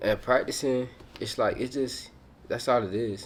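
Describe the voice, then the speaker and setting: The pace of this man's talking is moderate. He uses ordinary pitch variation. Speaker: motivational YouTuber. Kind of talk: casual motivational talk to camera. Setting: hotel room. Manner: loud; energetic.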